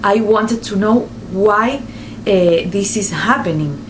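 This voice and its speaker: A woman talks in a Spanish accent with ordinary pitch variation. Audible room echo and noticeable background noise surround her. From Spain. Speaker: nurse. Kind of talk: vlog explainer. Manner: halting, many fillers.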